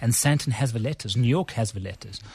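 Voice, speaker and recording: This man's voice sits at medium pitch, is somewhat breathy and has ordinary pitch variation. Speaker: business consultancy chief executive. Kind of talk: radio interview.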